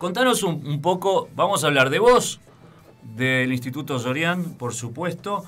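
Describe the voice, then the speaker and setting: This man has an unremarkable speaking voice, fairly high in pitch, with lively intonation at a fairly slow pace. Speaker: radio host. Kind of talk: casual chat.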